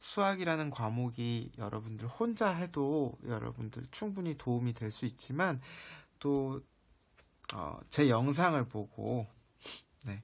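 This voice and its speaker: Very slow speech with long, frequent pauses on a very clean recording with a silent background. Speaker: math teacher. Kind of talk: lecture.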